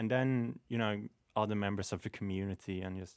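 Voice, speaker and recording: A man's voice sits at a very deep, low pitch. The sound is dry and close with no echo, on a very clean recording with a silent background. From Sweden. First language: Swedish. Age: 20s. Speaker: graphic artist and waiter. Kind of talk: casual interview.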